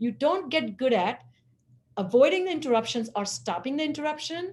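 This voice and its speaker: Her voice is somewhat breathy. This is a woman speaking. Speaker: webinar presenter on executive function. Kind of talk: webinar presentation. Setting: live webinar.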